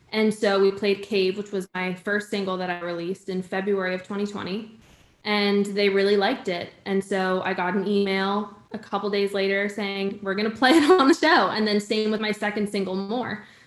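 A woman with an American accent and medium pitch talks at a moderate pace with fairly even intonation and hardly any pauses, over noticeable background noise. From Connecticut, New England. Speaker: singer-songwriter. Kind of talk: casual interview. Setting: video call.

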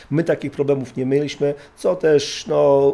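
A man's fairly high voice in a dark, mellow tone with monotone, flat intonation. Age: 50s. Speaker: former special forces officer and trainer. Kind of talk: interview. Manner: halting.

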